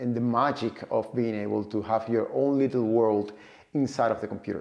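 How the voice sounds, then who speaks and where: A man speaks at a fairly quick pace with a Cuban accent, a dark, mellow tone, and ordinary pitch variation. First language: Spanish. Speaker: data professional and vlogger. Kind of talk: personal story vlog. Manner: halting, frequent repetitions and fillers.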